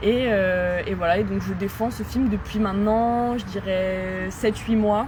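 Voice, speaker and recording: At a fairly slow pace, a woman with a medium pitch speaks amid noticeable background noise and audible room echo. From France, Saint-Étienne. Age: 20s. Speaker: film director. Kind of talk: interview. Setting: at a citizens' event. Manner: hesitant, many fillers.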